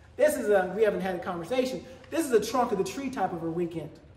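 A man's high-pitched, slightly mellow voice at a fast pace, lively in intonation, with strong room echo

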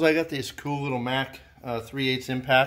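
A man talks at a moderate pace, and the background stays quiet. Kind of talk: tutorial. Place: garage. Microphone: phone near.

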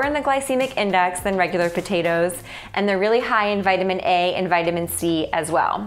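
A woman talks at a fairly quick pace with faint music in the background. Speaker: food blogger host. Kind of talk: cooking video intro. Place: kitchen. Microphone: lapel.

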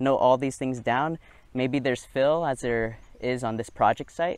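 A man at a moderate pace, ordinary pitch variation, dry sound with no echo. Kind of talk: tutorial. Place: open country. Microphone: lapel.

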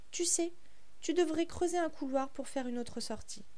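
Over noticeable background noise and with audible room echo, a woman speaks in a gentle tone at a moderate pace. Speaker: storyteller. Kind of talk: reading aloud. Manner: clear.

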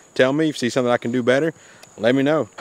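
Very fast and fairly even in intonation, a man talks with a dry sound that has no echo. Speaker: hunting vlogger. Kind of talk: casual vlog chat. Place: garden. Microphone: phone near.

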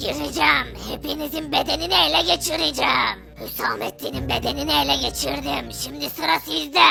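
Someone in a put-on character voice speaks at a moderate pace with hardly any pauses, over clear background noise. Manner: menacing.

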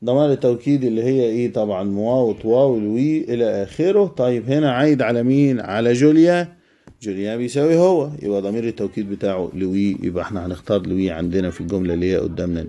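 A man's medium-pitched voice with a dark, mellow tone, lively intonation, a moderate pace and hardly any pauses. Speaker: French teacher. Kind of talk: tutorial.

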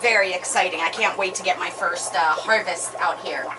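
Noticeable background noise accompanies a woman as she speaks at a moderate pace. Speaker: gardening channel host. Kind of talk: tutorial. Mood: upbeat, excited. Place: garden.

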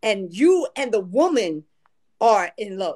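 A woman speaks at a fairly slow pace in an animated tone. Her pitch swings very widely, and the background is quiet. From US. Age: 60s. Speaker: retired family court judge. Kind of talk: casual chat. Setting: livestream call. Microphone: video call.

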